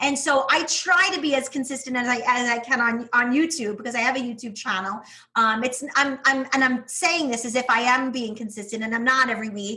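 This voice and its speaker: A woman's high, animated voice in a strong New York accent, fairly quick with hardly any pauses and ordinary pitch variation. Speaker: teacher turned online business owner. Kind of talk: podcast interview.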